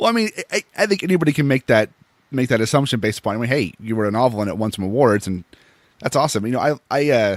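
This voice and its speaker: Dry and close with no echo, a man with an American accent talks very fast at a medium pitch, his intonation lively. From Seattle. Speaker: podcast host. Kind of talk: casual interview.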